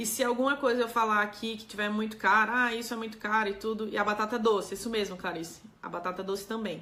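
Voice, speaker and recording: In a room with audible echo, a woman with a fairly high pitch and a bright, sharp tone speaks at a fairly quick pace with ordinary pitch variation. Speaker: doctor giving health talk. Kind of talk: live stream talk answering chat.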